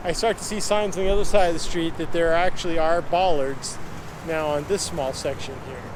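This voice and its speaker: Amid noticeable background noise and audible room echo, a man with a high pitch speaks at a fairly quick pace with fairly even intonation. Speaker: cycling video blogger. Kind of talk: narrated ride-along vlog. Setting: outdoors on a bicycle in traffic. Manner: casual, conversational.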